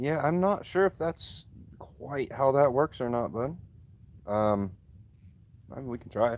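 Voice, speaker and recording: A man talks at a fairly slow pace with lively intonation and long, frequent pauses. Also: medium pitch for a man. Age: 30s. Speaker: livestreamer. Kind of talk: casual chat.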